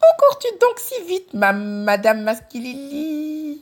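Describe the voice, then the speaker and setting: A put-on character voice pitched high, with very wide swings in pitch. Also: fairly slow pace. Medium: read story. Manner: mocking, haughty.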